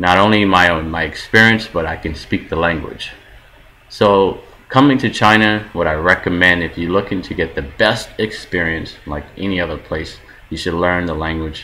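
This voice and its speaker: Moderate pace and ordinary pitch variation in an American accent, over noticeable background noise. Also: man, very deep, low pitch for a man. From New York, US East Coast. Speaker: vlogger, film worker in China. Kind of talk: casual vlog monologue.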